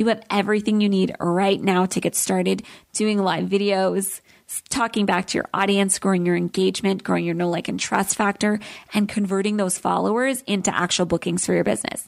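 On a very clean recording with a silent background, a woman speaks at a medium pitch in an upbeat, warm tone. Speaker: podcast host and travel business coach. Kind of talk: solo podcast talk. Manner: fast talker; upbeat, warm, animated.

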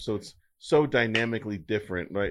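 A man talks at a fairly quick pace in a fairly low pitch, with an ordinary speaking voice. The background is quiet. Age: 40s. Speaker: cybersecurity guest. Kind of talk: casual chat.

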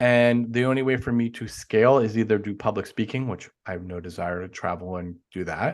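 Here a man with a normal speaking voice talks at a fairly quick pace with hardly any pauses. His pitch is medium with ordinary variation, over a quiet background. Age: 40s. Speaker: life coach. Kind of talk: casual interview chat.

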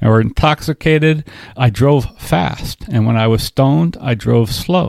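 A man's ordinary speaking voice, medium in pitch with lively intonation, in a dry, close sound with no echo. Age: 60s. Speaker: podcast co-host. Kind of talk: casual chat.

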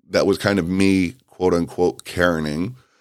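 A man with a very deep, low pitch is heard in a very clean recording against a silent background. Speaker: podcast host. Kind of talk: casual solo monologue. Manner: conversational, uses fillers like um and uh.

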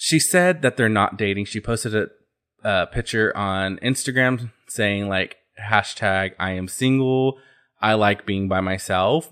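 In a very clean recording with a silent background, a man with an American accent and a fairly low pitch speaks at a fairly slow pace. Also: ordinary pitch variation. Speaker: pop culture podcast host. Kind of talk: casual solo chat. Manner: chatty, animated, sassy.

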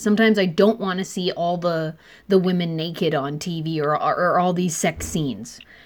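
A woman speaks in a plain, everyday voice. Her pitch is fairly low and her pace moderate. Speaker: podcast host. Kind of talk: casual interview chat.

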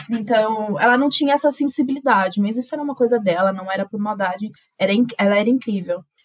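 A woman with a fairly high, somewhat breathy voice, a very fast pace and ordinary pitch variation. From Brazil, São Paulo city. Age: 20s. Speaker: journalist. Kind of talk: casual interview conversation.

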